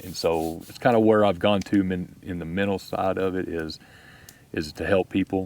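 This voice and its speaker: In a Texas accent, a man with a very deep, low pitch talks at a moderate pace, with big swings in loudness. The recording is very clean, with a silent background. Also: fairly even intonation. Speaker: YouTube camping vlogger. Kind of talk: podcast interview. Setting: outdoors at campsite.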